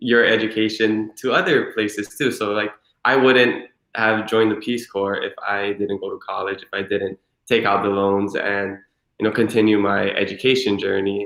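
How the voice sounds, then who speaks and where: A man with a Hawaiian accent speaks at a moderate pace in a fairly low pitch, his intonation monotone and flat. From Hawaii, Hilo. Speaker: former Peace Corps volunteer. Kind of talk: interview. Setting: livestream.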